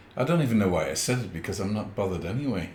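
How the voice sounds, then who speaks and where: A man speaks at a very fast pace with very wide pitch swings and a somewhat breathy sound. Audible room echo surrounds his voice. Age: 70s. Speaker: podcast co-host. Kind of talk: casual chat.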